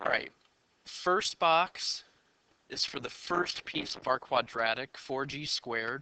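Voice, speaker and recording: A man talks at a fairly high pitch in a bright, sharp tone. His pace is very slow. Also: ordinary pitch variation, dry, close sound with no echo. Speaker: high school math teacher. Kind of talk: tutorial. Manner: animated.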